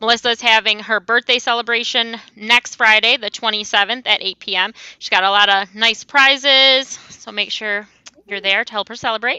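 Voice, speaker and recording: A woman speaks at a fairly high pitch and a moderate pace, in a monotone, flat intonation with big swings in loudness. The sound is dry and close, with no echo. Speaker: crochet youtuber. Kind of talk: casual chat. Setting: video call.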